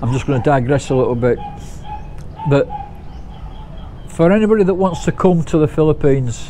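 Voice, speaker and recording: With noticeable background noise, a man with a fairly high voice talks at a fairly quick pace, using lively intonation and long, frequent pauses. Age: 60s. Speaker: vlogger. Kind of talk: casual vlog monologue.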